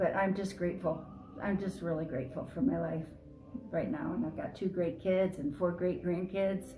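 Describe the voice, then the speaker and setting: Amid noticeable background noise and audible room echo, a woman speaks at a medium pitch and a moderate pace. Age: 70s. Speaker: artist. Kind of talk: interview. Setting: artist's studio.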